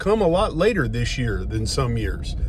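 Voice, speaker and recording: A relaxed-toned man with an American accent at a fairly slow pace, against noticeable background noise. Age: old. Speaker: retired bomb disposal officer turned financial services agent. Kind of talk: casual talk to camera, filmed in car. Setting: recorded inside a moving car. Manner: relaxed, conversational, rambling.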